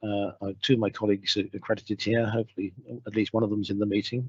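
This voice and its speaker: Speaking very fast in a British accent, a man holds a fairly low, monotone, flat pitch. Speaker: radiation protection scientist. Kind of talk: webinar lecture. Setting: video call from home. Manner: halting, many fillers. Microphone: home broadband connection.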